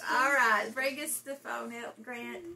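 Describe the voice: The voice has vocal fry and a bright, sharp tone. Its intonation is fairly even and its pace slow. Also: woman, fairly high pitch for a woman.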